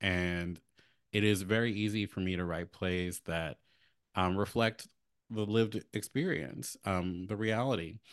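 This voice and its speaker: An unremarkable speaking voice: a man with an American accent, fairly low pitch, ordinary pitch variation and a fairly slow pace, over a quiet background. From Baltimore, US. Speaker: playwright and author. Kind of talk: interview.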